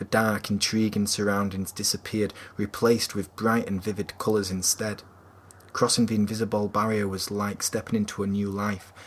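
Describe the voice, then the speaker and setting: A fairly low-pitched man's voice in a Yorkshire accent, monotone and flat in intonation, at a moderate pace. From Yorkshire, England. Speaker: author. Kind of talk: novel chapter reading.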